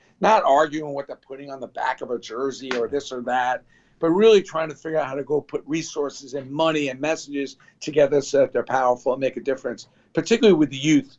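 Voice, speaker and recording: The speech comes in a New York accent at a very fast pace. Its pitch varies in an ordinary way while the loudness swings widely. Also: man, fairly high pitch for a man. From New York (Brooklyn). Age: 60s. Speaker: sports memorabilia entrepreneur. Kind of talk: interview.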